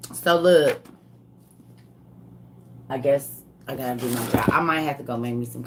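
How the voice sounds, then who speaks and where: In a put-on character voice, the speaker rasps along at a moderate pace with a low-to-middle pitch and long, frequent pauses. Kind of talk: casual, chatty.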